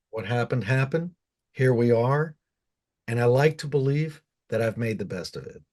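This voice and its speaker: A man at a medium pitch and moderate pace, somewhat breathy, with ordinary pitch variation, big swings in loudness and long, frequent pauses. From US, Cuban household. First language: Spanish. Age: 50s. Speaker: goth musician. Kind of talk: interview.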